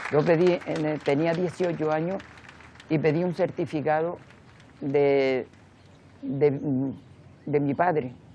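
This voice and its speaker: Amid noticeable background noise, a woman with a very deep, low pitch speaks at a very slow pace with fairly even intonation and long, frequent pauses. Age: 80s+. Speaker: memory association president, victim's daughter. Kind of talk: interview testimony. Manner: halting.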